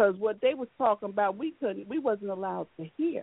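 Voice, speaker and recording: Her intonation is lively. The woman's pitch sits at a medium level. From US South, Florida (St. Augustine). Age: 40s. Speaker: conjure elder. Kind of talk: elder telling her family's rootwork childhood stories, earthy and profane. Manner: loose, rambling storytelling with laughs and cussing; warm, emphatic and conversational.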